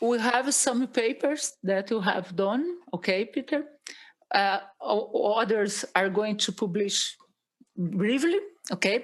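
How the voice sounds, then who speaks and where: Very slowly and with lively intonation, a woman with a Brazilian Portuguese accent speaks at a fairly high pitch. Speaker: agronomy professor. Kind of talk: interview. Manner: halting.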